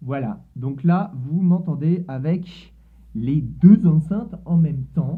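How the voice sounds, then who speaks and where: Ordinary pitch variation marks this very slowly paced speech. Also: man, high pitch for a man. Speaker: tech YouTuber doing experiments. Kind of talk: casual demo video.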